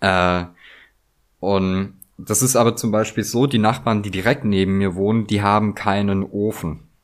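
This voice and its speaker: In a very clean recording with a silent background, a man with an ordinary speaking voice talks fairly slowly at a fairly low pitch, his intonation fairly even. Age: 30s. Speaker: craftsman. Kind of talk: casual chat.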